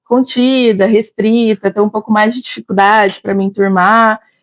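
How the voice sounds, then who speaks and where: In a strong interior São Paulo accent, a woman speaks fairly slowly at a fairly high pitch with ordinary pitch variation, in a dry, close sound with no echo. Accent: heavy interior São Paulo. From Brazil, interior of São Paulo state. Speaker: psychologist and teacher. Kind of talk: interview. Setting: café.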